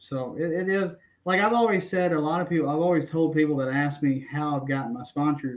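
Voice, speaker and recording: A man's fairly high voice with ordinary pitch variation at a fairly quick pace. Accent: Southern. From Tennessee, small town. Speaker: kayak angler. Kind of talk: podcast interview. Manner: halting, many fillers and restarts.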